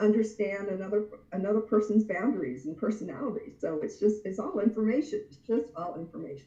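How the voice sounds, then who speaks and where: At a moderate pace, a woman with a plain, everyday voice speaks in a fairly high pitch with lively intonation. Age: 60s. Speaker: anger management expert. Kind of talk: casual interview chat.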